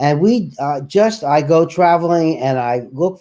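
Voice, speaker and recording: This is a man speaking. His tone is dark and mellow. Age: 70s. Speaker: charity founder. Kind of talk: interview.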